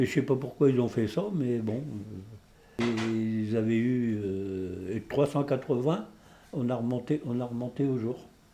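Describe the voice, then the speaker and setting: A man's medium-pitched voice at a very slow pace with ordinary pitch variation, music in the background. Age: 70s. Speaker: retired coal miner. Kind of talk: casual chat. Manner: halting.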